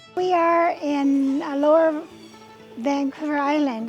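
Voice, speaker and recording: A woman speaks in a high voice. Music plays in the background. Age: 80s+. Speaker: organic farmer. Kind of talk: interview answer.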